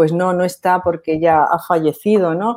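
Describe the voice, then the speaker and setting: A woman speaks in a dark, mellow tone at a fairly low pitch. Her intonation stays fairly even. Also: very clean recording, silent background. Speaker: doctor co-hosting a spiritual advice show. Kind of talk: casual chat.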